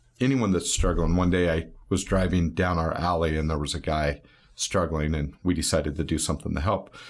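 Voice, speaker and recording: Fairly quick delivery with fairly even intonation, on a very clean recording with a silent background. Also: man, very deep, low pitch for a man. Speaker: barbershop owner. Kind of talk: casual interview chat. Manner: loud.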